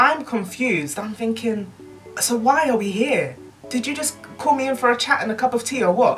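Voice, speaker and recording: The speaker talks at a moderate pace with ordinary pitch variation while faint music plays in the background. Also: woman, high pitch for a woman. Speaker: YouTuber. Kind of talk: casual story time to camera. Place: home room.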